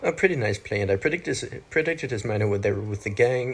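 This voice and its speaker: The man's voice has some breathiness. His words come very fast. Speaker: gaming commentator. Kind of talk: gameplay commentary. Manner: casual, with fillers.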